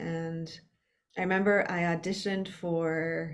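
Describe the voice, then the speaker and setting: A woman speaks in a monotone, flat delivery at a fairly low pitch, with audible room echo. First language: Spanish. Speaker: actor. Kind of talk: casual interview conversation.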